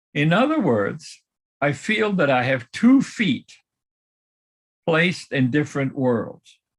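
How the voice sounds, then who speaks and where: A man speaks at a very slow pace, with long, frequent pauses and a somewhat breathy quality. His fairly high pitch swings very widely while his loudness stays very even. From Germany. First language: German. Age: 90s. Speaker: Holocaust survivor speaker. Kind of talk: personal testimony talk. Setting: live-streamed video call event.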